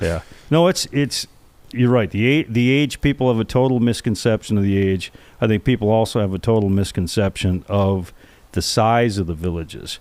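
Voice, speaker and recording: A man speaks in a plain, everyday voice, fairly low in pitch, with ordinary pitch variation, very even loudness and a moderate pace, on a very clean recording with a silent background. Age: 60s. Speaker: podcast co-host. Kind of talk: casual chat.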